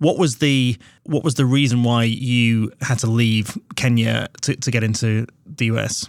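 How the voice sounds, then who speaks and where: Speaking at a fairly slow pace, a man has a medium pitch, fairly even intonation, and a plain, everyday voice, on a very clean recording with a silent background. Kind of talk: interview, conversational discussion.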